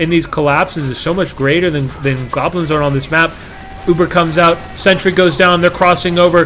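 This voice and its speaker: A man with an American accent and fairly high pitch, over noticeable background noise. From Australia. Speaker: esports caster. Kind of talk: live commentary. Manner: animated.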